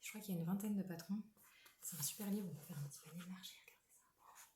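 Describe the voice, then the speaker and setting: A woman speaks at a very fast pace in a medium pitch, somewhat breathy with a dark, mellow tone, fairly even intonation and big swings in loudness. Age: 20s. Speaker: knitting podcaster. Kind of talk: casual chat. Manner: halting.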